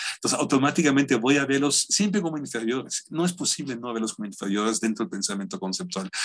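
Against a quiet background, a man speaks very fast with hardly any pauses, his fairly high pitch swinging very widely. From Germany. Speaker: philosopher; lecturer. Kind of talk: lecture. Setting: video call. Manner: halting. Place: home room. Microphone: webcam.

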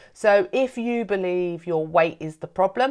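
With a quiet background and ordinary pitch variation, a woman's speech moves at a fairly slow pace. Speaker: coach or host of a program. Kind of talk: welcome talk to camera. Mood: warm, earnest. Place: home room. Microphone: phone near.

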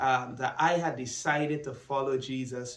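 A man's voice is heard with audible room echo. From Guyana. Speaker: church minister and student. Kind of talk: personal testimony. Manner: hesitant with fillers. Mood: calm, earnest, reflective. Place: studio.

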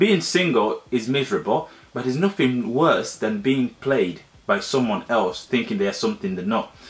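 A man speaks at a medium pitch with lively intonation. His pace is fairly quick.

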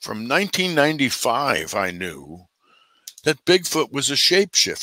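With an American accent, a man talks at a very slow pace, with long, frequent pauses and very wide pitch swings. The sound is dry with no echo over a quiet background. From New Jersey. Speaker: bigfoot researcher and author; podcast guest. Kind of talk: interview conversation. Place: home room.

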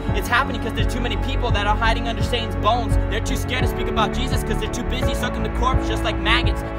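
Over loud background music, a man talks at a very fast pace. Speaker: spoken word performer. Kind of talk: spoken word poetry. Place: forest. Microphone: phone near.

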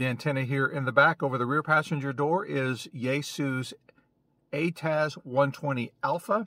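His tone is bright and sharp at a medium pitch. The man keeps a moderate pace with ordinary pitch variation.

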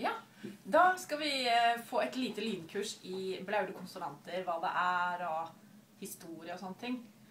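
Over light background noise and audible room echo, a woman speaks at a fairly slow pace with lively intonation. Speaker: linguist, youth language researcher. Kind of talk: casual conversation on camera. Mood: cheerful, light. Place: office. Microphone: webcam.

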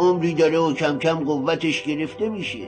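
The pace is moderate. Clear music can be heard in the background. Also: man. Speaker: narrator, dub actor. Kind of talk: film narration. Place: studio.

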